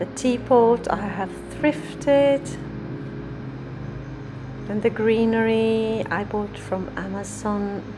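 A woman at a very slow pace with long, frequent pauses, over noticeable background noise. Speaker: home DIY creator. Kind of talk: room tour narration. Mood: calm, proud. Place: bathroom. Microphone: phone near.

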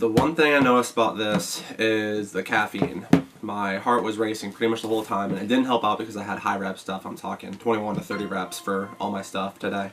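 A fairly low-pitched man at a fairly quick pace with hardly any pauses, amid noticeable background noise. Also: ordinary pitch variation. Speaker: fitness supplement reviewer. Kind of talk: casual vlog chat. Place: home room.

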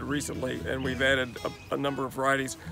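With clear music behind him, a man's voice comes across dry and free of echo. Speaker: host. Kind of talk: casual garden tour talk. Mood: warm, relaxed. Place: garden.

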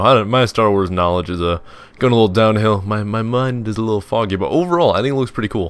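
With ordinary pitch variation, a man speaks at a fairly low pitch. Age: 20s. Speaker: gaming youtuber. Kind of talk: casual let's play commentary. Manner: rambling, lots of fillers.

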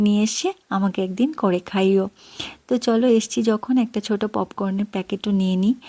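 A woman with a medium-pitched, dark, mellow tone and ordinary pitch variation is captured dry and close with no echo, in a very clean recording with a silent background. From Tripura, Northeast India. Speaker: vlogger. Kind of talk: vlog narration. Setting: supermarket.

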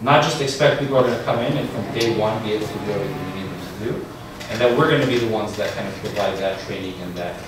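Amid noticeable background noise and strong room echo, a man speaks at a very fast pace with ordinary pitch variation. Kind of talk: answer to an audience question. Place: classroom. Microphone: camera far.

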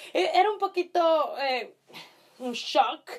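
The voice is a woman's. Her intonation rises and falls in a normal way. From Italy. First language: Italian (speaking Spanish). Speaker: YouTuber; vlogger. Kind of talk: casual chat. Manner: halting. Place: home room. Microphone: camera far.

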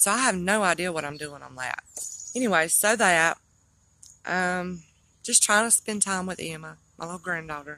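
This woman has a bright, sharp tone, ordinary pitch variation and a moderate pace, recorded with a quiet background and a dry sound with no echo. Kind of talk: casual vlog chat. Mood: weary, burdened, emotional. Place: street. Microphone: phone near.

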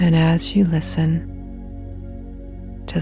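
The sound is dry, with no echo. Light background noise can be heard. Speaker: hypnotherapist. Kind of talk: guided meditation. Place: studio.

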